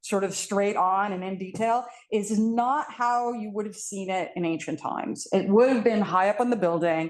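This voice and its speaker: This woman's medium pitch shows ordinary variation. Her pace is moderate. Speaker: art history professor. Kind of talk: panel talk. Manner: loud.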